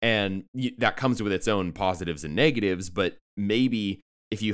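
A normal speaking voice from a man with an American accent, fairly low in pitch, at a moderate pace. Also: very clean recording, silent background. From San Diego, California. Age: 20s. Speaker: podcast co-host. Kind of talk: casual chat.

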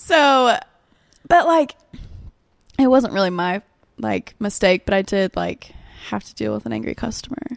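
A woman with an Alabama accent speaks at a moderate pace with long, frequent pauses and big swings in loudness, the sound dry and close with no echo. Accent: US Southern (Alabama). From Alabama (Birmingham). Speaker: Spanish interpreter and barista. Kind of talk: casual chat.

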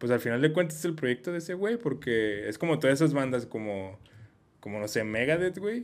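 Fairly quick delivery with very wide pitch swings. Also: man, medium pitch for a man. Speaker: podcast host. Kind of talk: casual chat.

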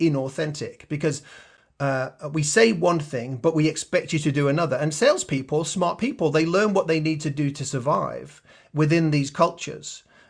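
A man talks at a fairly quick pace with a slight Australian accent and a somewhat breathy voice. His pitch is fairly high with ordinary variation, over a quiet background. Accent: slight Australian twang. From Yorkshire, England. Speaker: sales enablement leader. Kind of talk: interview.

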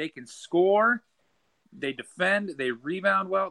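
Dry and close with no echo, the recording captures a man's bright, sharp tone, fairly high pitch and fairly slow pace. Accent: American. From Nebraska. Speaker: college basketball writer. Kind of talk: casual chat.

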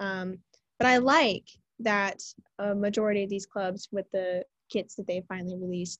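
With an American accent, a woman of medium pitch talks at a moderate pace with fairly even intonation, in a dry, close sound with no echo. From Texas. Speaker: student journalist. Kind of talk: casual chat.

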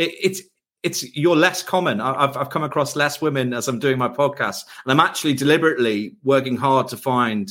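An unremarkable speaking voice from a man at medium pitch, moving at a fairly quick pace. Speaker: podcast host. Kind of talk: casual interview.

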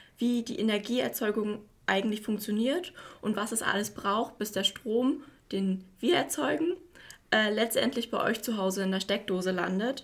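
A woman speaks at a moderate pace with a somewhat breathy, fairly high voice. Her pitch variation is ordinary. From Mecklenburg-Vorpommern, Güstrow. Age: 20s. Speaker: industrial clerk apprentice. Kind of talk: interview.

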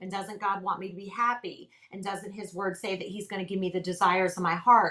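A woman speaks in a monotone, flat intonation, with big swings in loudness. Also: medium pitch for a woman, fairly quick pace. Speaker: ministry leader and author. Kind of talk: personal testimony in interview.

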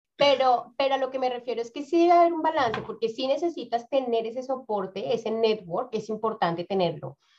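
A woman at a moderate pace with lively intonation. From Colombia, Bogotá. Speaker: community organization founder and career coach. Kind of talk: interview.

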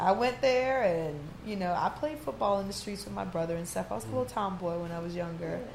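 A woman's fairly low voice at a very fast pace, with very wide pitch swings and noticeable background noise. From New Orleans, born in Trinidad and Tobago. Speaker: DJ and actress. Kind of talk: casual chat.

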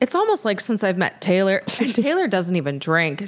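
A woman's medium-pitched voice with lively intonation, over noticeable background noise. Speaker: podcast host. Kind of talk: casual chat. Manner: animated.

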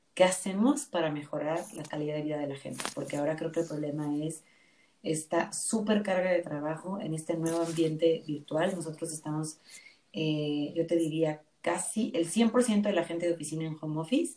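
Dark, mellow tone with ordinary pitch variation at a moderate pace. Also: woman, fairly low pitch for a woman. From Mexico, Nayarit. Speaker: human resources business partner. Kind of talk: interview. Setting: remote call.

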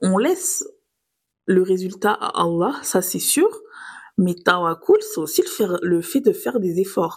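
A woman speaks at a fairly slow pace. Her pauses are long and frequent. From southern France, Nice. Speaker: podcast host. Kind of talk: scripted religious reflection podcast.

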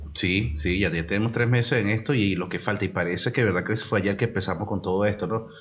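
At a very fast pace, a man talks in a fairly low, somewhat breathy voice. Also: ordinary pitch variation. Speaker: podcast co-host. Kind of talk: casual chat.

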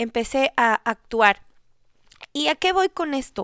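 A woman speaks at a fairly slow pace with lively intonation. The sound is dry and close with no echo, on a very clean recording with a silent background. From Ecuador. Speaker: podcast host. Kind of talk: solo podcast monologue on marriage.

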